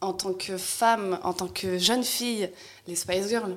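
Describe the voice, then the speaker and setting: Over noticeable background noise, a woman speaks very slowly with fairly even intonation. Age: 30s. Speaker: stylist and costume designer, content creator. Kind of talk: casual chat.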